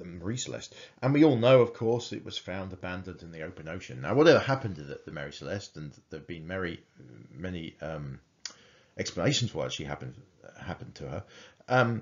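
A man's very deep, low pitch with vocal fry, a very fast pace and big swings in loudness. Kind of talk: lecture. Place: home room. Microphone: webcam.

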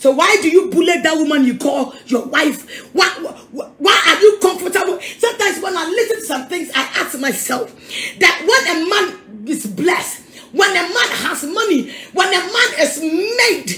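A raised, projected voice with big swings in loudness and audible room echo. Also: woman, moderate pace. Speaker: preacher. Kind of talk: sermon. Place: home room. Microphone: phone near.

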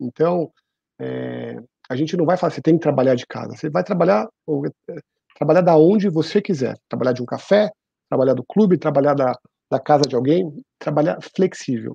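A man with a dark, mellow tone and vocal fry speaks at a moderate pace with lively intonation and long, frequent pauses. The sound is dry with no echo, against a quiet background. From Brazil, São Paulo. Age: 40s. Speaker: HR executive; guest. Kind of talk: interview. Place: home room. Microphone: earbuds.

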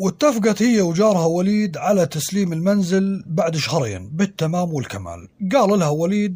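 A man speaks at a moderate pace with a Syrian accent. His tone is dark and mellow. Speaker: storyteller podcaster. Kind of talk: scripted storytelling narration.

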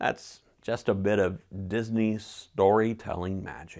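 Against a quiet background, the speaker goes at a very slow pace with fairly even intonation. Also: man. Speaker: pastor. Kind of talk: sermon. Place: home room. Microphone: lapel.

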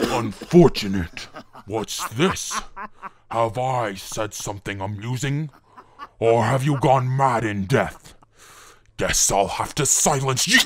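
A man performs a put-on character voice at medium pitch. He goes at a fairly slow pace with long, frequent pauses. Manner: menacing, arrogant.

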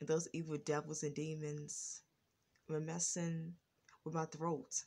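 Somewhat breathy and very deep and low in pitch, a woman talks at a fairly slow pace with a monotone, flat intonation. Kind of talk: casual talk to camera.

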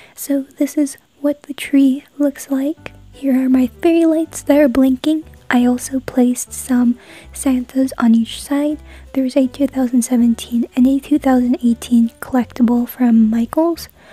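The speech moves at a very slow pace over background music, with a dry sound and no echo. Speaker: craft vlogger. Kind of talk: casual vlog narration.

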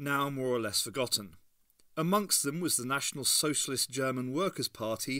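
Someone does plain reading aloud, and the pitch rises and falls in an ordinary way.

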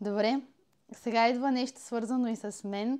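Fairly even intonation from a woman, fairly high in pitch. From Bulgaria, Elhovo. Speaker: podcast host. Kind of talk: interview. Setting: home studio.

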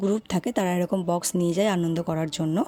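Noticeable background noise runs behind a woman speaking. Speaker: vlogger. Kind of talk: casual vlog narration.

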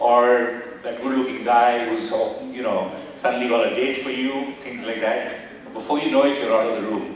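A man speaks at a moderate pace. There is strong room echo and light background noise. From India. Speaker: business executive and former army officer. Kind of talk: motivational guest talk. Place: hall.

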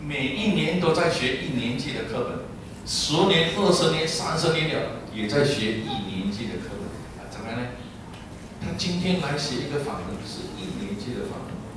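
At a moderate pace, the speech comes through strong room echo and noticeable background noise. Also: man. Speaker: Buddhist teacher. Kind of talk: dharma talk sermon. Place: hall.

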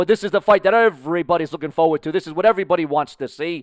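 A man talks at a high pitch. The sound is dry with no echo, and the background is quiet. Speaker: boxing commentator. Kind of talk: live boxing commentary. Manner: excitable, hyped-up play-by-play; rapid, promotional patter. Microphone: headset.

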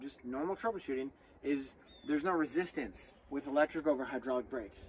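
At a fairly quick pace, a man talks over light background noise. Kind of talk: tutorial. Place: open country. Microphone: phone near.

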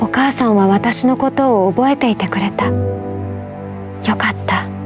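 Clear music sounds in the background as a woman speaks at a moderate pace. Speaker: voice actor. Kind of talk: emotional short story reading. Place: studio.

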